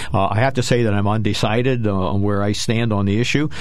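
Noticeable background noise sits under a man's voice. He speaks fairly low and fairly quickly, with fairly even intonation. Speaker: co-host, army veteran and investment counselor. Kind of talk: radio talk show discussion. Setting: radio studio.

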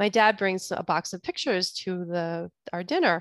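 A woman speaks in a normal speaking voice at a medium pitch. Her intonation is fairly even, and the recording is very clean with a silent background. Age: 40s. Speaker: podcast host and bodyworker. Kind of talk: solo podcast talk.

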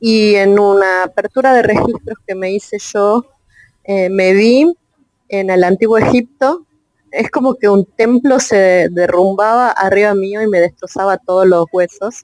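In a dry, close sound with no echo, a woman speaks fairly slowly. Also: medium pitch for a woman, ordinary pitch variation. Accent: Rioplatense. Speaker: audience participant. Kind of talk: casual conversation. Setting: online audio chat room.

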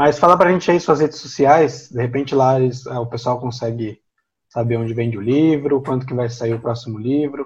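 A man talks at a fairly quick pace. His voice is somewhat breathy against a quiet background. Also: medium pitch for a man, ordinary pitch variation. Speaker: podcast host, theologian. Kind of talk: podcast interview.

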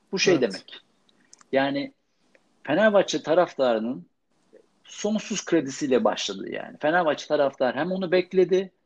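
Against a quiet background, a man with a fairly high pitch talks at a moderate pace, his pitch swinging very widely between long, frequent pauses. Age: 40s. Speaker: sports journalist. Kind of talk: casual chat.

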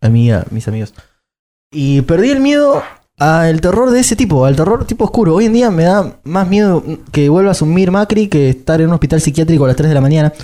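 Using very wide pitch swings and very even loudness, a man with a high voice and a dark, mellow tone speaks at a fairly quick pace. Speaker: podcast guest, actor. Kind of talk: casual chat.

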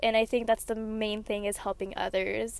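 Her voice is fairly high, and this woman keeps to a moderate pace. The intonation is monotone and flat. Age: 20s. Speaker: podcaster. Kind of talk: casual monologue.

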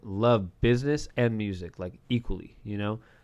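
A man with a medium pitch speaks with an American accent. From US West Coast, Southern California. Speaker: music artist and entrepreneur. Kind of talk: casual interview chat.

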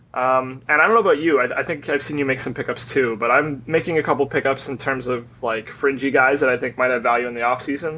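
Loud and very fast, a man speaks at a medium pitch with fairly even intonation. His tone is bright and sharp against a quiet background. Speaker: fantasy league player. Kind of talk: casual chat.

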